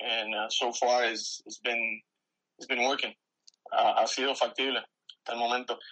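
Here a man talks at a fairly slow pace. His pitch sits in the medium range. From Puerto Rico, San Germán. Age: 30s. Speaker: retired army veteran. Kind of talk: casual interview. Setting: phone call. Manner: halting.

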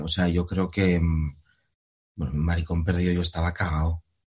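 Here a man speaks in a very deep, low pitch. His intonation stays monotone and flat over a quiet background. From Spain. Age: 20s. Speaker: actor. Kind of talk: interview. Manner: halting, frequent repetitions and fillers.

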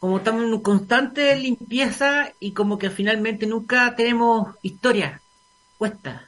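A man with a Chilean accent and a high pitch speaks at a fairly slow pace with ordinary pitch variation. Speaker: radio host. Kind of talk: casual chat.

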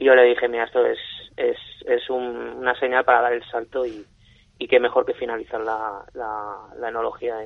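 A man is speaking. His pace is moderate. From Elche, Alicante, Spain. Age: 30s. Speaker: winemaker and wine sales director. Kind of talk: radio interview. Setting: radio studio.

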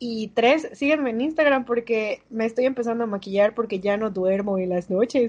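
This woman has a normal speaking voice, pitched fairly high, with ordinary pitch variation. She goes at a moderate pace. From Mérida, Yucatán, Mexico. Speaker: podcast co-host, university student. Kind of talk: casual chat.

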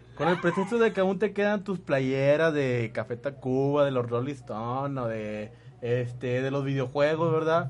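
A plain, everyday voice: a man with fairly high pitch, lively intonation, a fairly slow pace and hardly any pauses. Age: 20s. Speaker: radio host. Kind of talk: casual chat.

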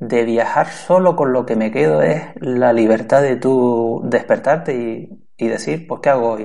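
A man speaks in a normal speaking voice at a medium pitch, with lively intonation. His pace is fairly slow, with hardly any pauses. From Canary Islands, Spain. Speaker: podcaster. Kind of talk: interview.

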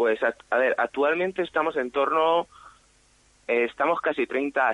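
A man talks at a fairly slow pace with a fairly high pitch and ordinary pitch variation. It is a normal speaking voice. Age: 20s. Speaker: bullfighting fan association representative. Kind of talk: radio interview.

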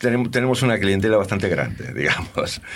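With audible room echo, a man speaks at a medium pitch. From Argentina. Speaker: rock and blues singer and bassist. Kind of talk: interview. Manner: halting.

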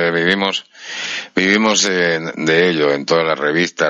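Against noticeable background noise, a man with a very deep, low voice talks at a moderate pace with ordinary pitch variation. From Spain. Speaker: radio host. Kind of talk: interview.

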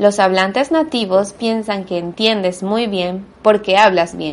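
At a fairly slow pace, a woman speaks in an ordinary speaking voice. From Venezuela. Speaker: language teacher and podcast host. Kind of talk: monologue lesson for Spanish learners. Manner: clear, deliberate for learners.

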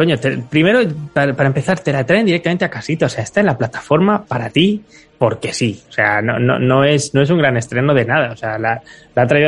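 Somewhat breathy and very fast, a man speaks at a medium pitch with lively intonation. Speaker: podcast co-host. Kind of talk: casual chat.

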